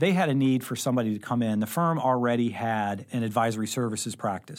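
On a very clean recording with a silent background, a man speaks with an American accent at a very fast pace. His pitch is medium and his intonation fairly even. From Southern Illinois (Carbondale). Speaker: accounting firm partner and advisory director. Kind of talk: interview conversation. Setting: studio.

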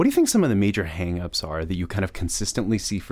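Very fast male speech with an American accent. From Minnesota. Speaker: podcast host. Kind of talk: interview.

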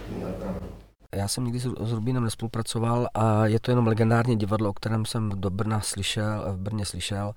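A man's fairly low, fairly quick voice in a monotone, flat intonation. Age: 40s. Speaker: actor. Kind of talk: interview.

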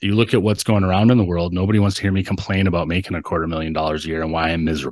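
Against a quiet background, a man talks with a very deep, low pitch and ordinary pitch variation. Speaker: entrepreneur, author, coach. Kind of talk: interview, casual chat.

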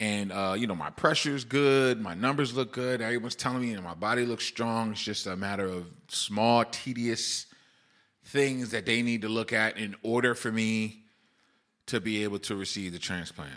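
A man at a medium pitch, animated in tone, with ordinary pitch variation and a moderate pace, on a very clean recording with a silent background. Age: 40s. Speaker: podcast host and dialysis patient. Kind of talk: casual solo podcast monologue.

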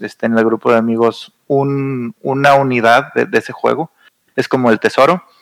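An unremarkable speaking voice moves at a moderate pace, and the sound is dry and close with no echo. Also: man. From northern Mexico, Saltillo. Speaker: board game enthusiast. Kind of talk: casual chat.

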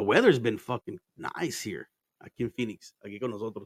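The man's tone is animated. He moves at a fairly quick pace. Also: dry, close sound with no echo. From Arizona, born in Mexico. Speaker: podcast host. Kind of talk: casual chat.

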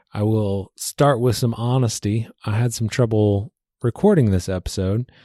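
Recorded very cleanly against a silent background, a man's dark, mellow voice sounds dry and close with no echo, moving at a moderate pace with fairly even intonation. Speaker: podcast host, university advisor. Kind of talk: solo spoken introduction.

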